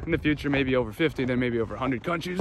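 Speaking at a very fast pace with an American accent, a man uses ordinary pitch variation in a dry recording with no echo and light background noise. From upstate New York. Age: 30s. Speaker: travel vlogger. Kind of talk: vlog narration. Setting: outdoors. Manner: animated. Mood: reflective, reminiscing. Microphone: phone near.

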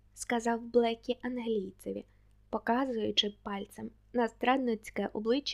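This is an unforced reading voice. Its intonation is fairly even.

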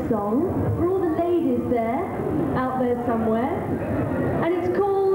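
Music plays in the background, and the room echo is audible. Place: stage. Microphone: pa.

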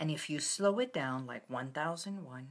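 Her voice very deep and low, a woman speaks at a very slow pace with ordinary pitch variation. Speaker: wellness host. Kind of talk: guided relaxation talk. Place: home room. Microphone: phone near.

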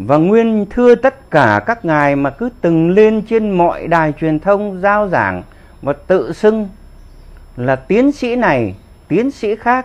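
A man with a high voice, a very slow pace, lively intonation and a Northern Vietnamese accent. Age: 70s. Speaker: war veteran. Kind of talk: political commentary monologue. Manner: animated. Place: home room. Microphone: lapel.

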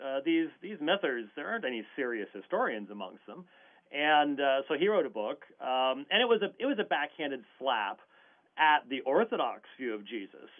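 Over a quiet backdrop, the words come at a moderate speed. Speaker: guest. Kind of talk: interview answer.

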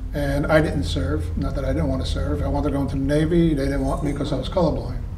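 A man amid audible room echo and light background noise. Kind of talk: interview answer, storytelling. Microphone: camera far.

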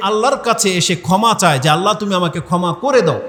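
A man talks loudly with lively intonation over noticeable background noise. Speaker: Islamic preacher. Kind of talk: sermon.

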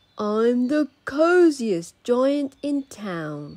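A woman's high, sing-song put-on character voice, sad and cheerful in tone, with very wide pitch swings. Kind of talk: children's picture-book read-aloud. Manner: sad, then proud and cheerful sing-song.

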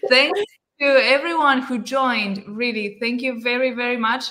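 In a Spanish accent, a woman talks at a fairly slow pace with a high pitch and a bright, sharp tone. Her pitch varies in an ordinary way, and the background is quiet. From Argentina. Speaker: book club host. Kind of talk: casual chat. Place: home room.

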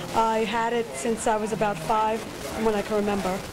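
With noticeable noise in the background, the talking runs at a fairly quick pace. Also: woman. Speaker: interview guest. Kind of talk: interview answer. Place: cafe. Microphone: handheld.

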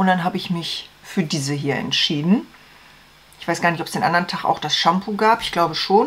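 Her pitch fairly low, a woman talks at a fairly quick pace. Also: ordinary pitch variation, fairly bright tone.

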